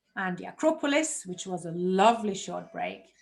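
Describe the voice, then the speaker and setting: With music in the background, a woman speaks at a fairly slow pace with lively intonation. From Germany. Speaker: health coach. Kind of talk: online workshop presentation.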